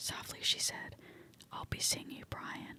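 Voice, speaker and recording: A woman whispers, her words coming fairly slowly against noticeable background noise. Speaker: ASMR creator. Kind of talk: whispered horror story reading for relaxation. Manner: whispering, soft.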